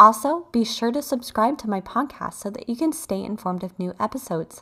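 Captured in a very clean recording with a silent background, a woman speaks at a fairly quick pace in a normal speaking voice. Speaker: guided meditation host. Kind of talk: guided meditation.

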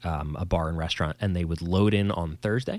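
A man with a New Jersey accent, very deep and low in pitch, at a moderate pace. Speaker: podcast host and musician. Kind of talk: casual banter chat. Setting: video call, quarantine at home. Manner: joking, rambling, self-deprecating.

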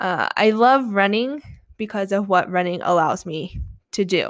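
A woman at medium pitch, fairly slow, with ordinary pitch variation and a quiet background. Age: 30s. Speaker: running coach and podcast host. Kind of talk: solo podcast monologue.

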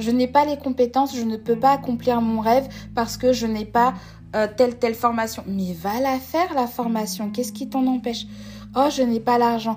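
Here a woman with a high-pitched voice speaks at a moderate pace. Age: 20s. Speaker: podcast host. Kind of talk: solo podcast monologue.

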